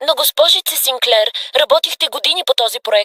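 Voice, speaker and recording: The speaker uses a high-pitched, put-on character voice. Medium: fan dub. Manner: anxious, deferential.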